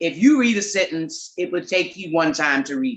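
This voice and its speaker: A woman's fairly low voice in an American accent, at a moderate pace, with very wide pitch swings. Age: 50s. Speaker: comedian. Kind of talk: testimony.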